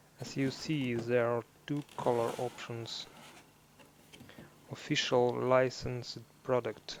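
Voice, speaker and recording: The voice carries a non-native accent. Speech moves along very slowly. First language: non-native English speaker. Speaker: scale model builder. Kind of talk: casual unboxing commentary.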